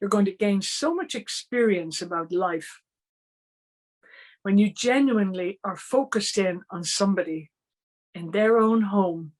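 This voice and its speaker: A woman with an Irish accent speaks at medium pitch with ordinary pitch variation. She goes at a fairly slow pace, with long, frequent pauses. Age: 60s. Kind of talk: online training talk.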